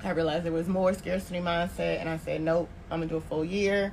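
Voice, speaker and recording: With an American accent, a woman speaks at a fairly low pitch with fairly even intonation and audible room echo. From Tallahassee, Florida. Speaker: marketing consultant on sabbatical. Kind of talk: casual chat.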